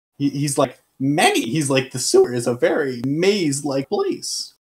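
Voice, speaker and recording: A man puts on a character voice with a fairly high pitch. He keeps to a moderate pace. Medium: actual play. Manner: mutters, cryptic and greedy.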